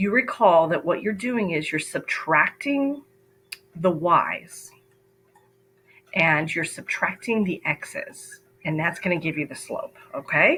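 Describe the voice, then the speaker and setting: A woman's fairly low, lively voice at a very slow pace, with long, frequent pauses and music in the background. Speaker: math teacher. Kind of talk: tutorial.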